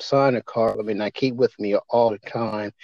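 A man with an American accent. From Maryland, Eastern Shore. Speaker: civil rights organization leader. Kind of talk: interview.

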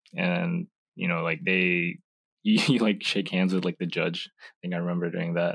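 Very deep and low, a man's voice fills a very clean recording with a silent background. The sound is dry and close, without echo. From US, moved from Indonesia at age two. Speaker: recent college graduate, naturalized citizen. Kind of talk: casual chat. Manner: hesitant, many fillers.

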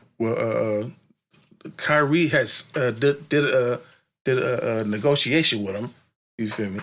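Someone with a Bay Area accent talks at a fairly slow pace with ordinary pitch variation and long, frequent pauses. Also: man, medium pitch for a man. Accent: Bay Area swing in his speech. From San Francisco Bay Area (East Oakland, then North Vallejo). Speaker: rapper. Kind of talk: interview. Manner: halting, many fillers and repetitions.

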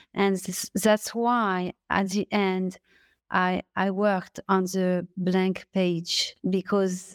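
A woman speaks at medium pitch with a French accent and a very slow pace. The sound is dry and close with no echo, on a very clean recording with a silent background. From France. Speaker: novelist. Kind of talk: interview. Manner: halting.

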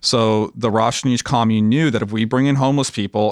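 In a plain, everyday voice, a man with an American accent speaks at a moderate pace and fairly low pitch, with a dry, close sound with no echo on a very clean recording with a silent background. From Los Angeles, US. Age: 30s. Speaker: documentary director. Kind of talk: casual interview chat.

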